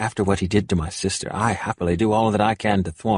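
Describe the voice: Reading aloud, done plainly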